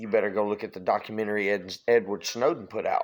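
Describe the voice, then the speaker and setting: In a Louisiana accent, a man talks at a moderate pace with an animated tone, captured in a very clean recording with a silent background. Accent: Southern US (Louisiana). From Louisiana, US South. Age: 40s. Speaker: political vlogger. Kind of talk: political rant.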